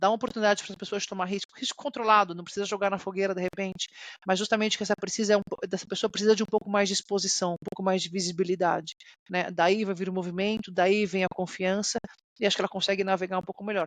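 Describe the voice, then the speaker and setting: Against a quiet background, a woman talks at a very fast pace in a monotone, flat way, the sound dry and close with no echo. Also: medium pitch for a woman. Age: 30s. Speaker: corporate executive. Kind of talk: interview.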